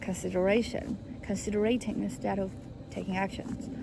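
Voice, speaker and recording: Speaking at a moderate pace and medium pitch in a Chinese accent, a woman has a dark, mellow tone, vocal fry, ordinary pitch variation, and audible room echo. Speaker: vlogger, international student. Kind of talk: personal vlog monologue. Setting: recording alone to camera. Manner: halting, many fillers and restarts.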